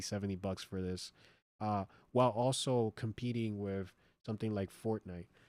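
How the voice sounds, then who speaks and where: The sound is dry and close with no echo as a man with an American accent talks at a fairly low pitch with ordinary pitch variation. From United States. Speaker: streamer. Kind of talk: live stream chat and news reaction. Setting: live stream. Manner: loud; casual, filler-heavy.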